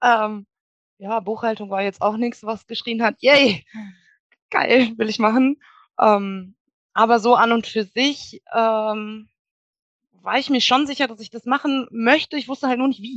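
A woman at fairly high pitch and fairly slow pace, long, frequent pauses and big swings in loudness, in a dry, close sound with no echo. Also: fairly even intonation. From western Germany (Wuppertal, Bergisches Land). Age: 30s. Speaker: virtual assistant. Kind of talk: podcast interview.

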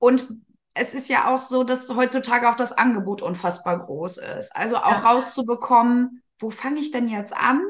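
Moderate pace and ordinary pitch variation. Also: woman. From northern Germany, Gifhorn district, Lower Saxony. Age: 30s. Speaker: care service manager and network marketer. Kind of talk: interview.

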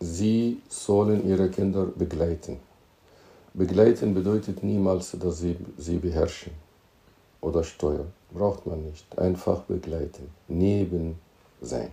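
A man's very deep, low voice with an Arabic accent, somewhat breathy and dark, mellow in tone, at a very slow pace with long, frequent pauses and ordinary pitch variation. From Egypt. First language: Arabic (speaking German). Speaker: teacher and entrepreneur. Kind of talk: interview. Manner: halting, with repetitions. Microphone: poor audio quality.

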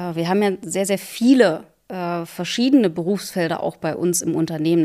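A woman with a normal speaking voice, a moderate pace, and ordinary pitch variation. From Saxony-Anhalt, Harz region. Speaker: railway company managing director. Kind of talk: interview. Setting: town hall.

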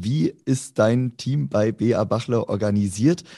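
Against a quiet background, a man with a dark, mellow tone and medium pitch speaks at a very slow pace. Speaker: co-host. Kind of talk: interview.

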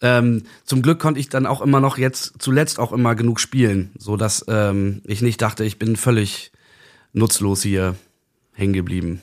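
The man's pitch shows ordinary variation. His speaking pace is moderate. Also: medium pitch for a man, very clean recording, silent background. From northern Germany, Bremen-Nord. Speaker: musician. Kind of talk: casual chat. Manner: halting.

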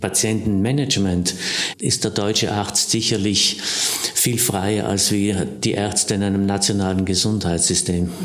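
Fairly low in pitch, a man speaks at a moderate pace in a monotone, flat way. Room echo is audible, along with noticeable background noise. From South Tyrol, Passeier valley. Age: 60s. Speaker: surgeon. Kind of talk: interview.

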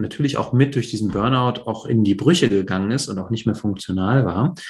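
Somewhat breathy, a man speaks at a moderate pace with medium pitch and ordinary pitch variation. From East Germany (GDR), Polish family, later West Berlin. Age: 40s. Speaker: real estate investor. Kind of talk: interview, life story. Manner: hesitant, many fillers.

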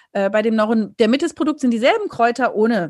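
A woman with a high pitch speaks at a fairly quick pace with lively intonation against a quiet background. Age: 40s. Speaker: dermatologist and author. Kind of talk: interview.

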